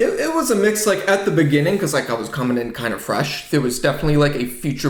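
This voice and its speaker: A man with a slight New England accent, audible room echo around him. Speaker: software developer and business founder. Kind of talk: podcast interview. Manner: casual, many fillers.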